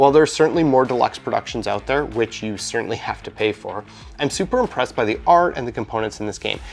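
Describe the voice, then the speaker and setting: A man with a Canadian accent speaks at a very fast pace in an upbeat, playful tone. Music runs in the background. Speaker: board game reviewer. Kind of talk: scripted review narration.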